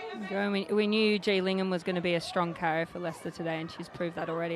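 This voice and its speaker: Against crowd noise in the background, a woman with an Australian accent speaks very fast in a flat monotone at a fairly low pitch. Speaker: rugby player and co-commentator. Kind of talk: live commentary.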